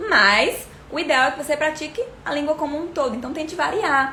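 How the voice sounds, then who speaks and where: A woman's voice with ordinary pitch variation, audible room echo and noticeable background noise. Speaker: English teacher. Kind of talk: livestream tutorial. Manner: fast.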